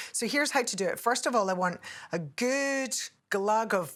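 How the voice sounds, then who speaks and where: A woman talks with a Scottish accent. Her pace is moderate. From Scotland. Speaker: TV cook and nutritionist. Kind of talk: cooking tutorial.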